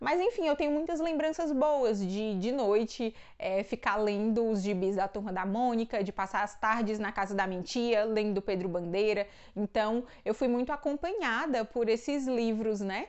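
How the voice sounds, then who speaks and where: A woman speaks at a moderate pace in a fairly high pitch with lively intonation against a quiet background. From Brazil, Ceará (Northeast). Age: 20s. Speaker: book and theology YouTuber; YouTuber. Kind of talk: casual Q&A vlog. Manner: casual, chatty with fillers. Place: home room. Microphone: lapel.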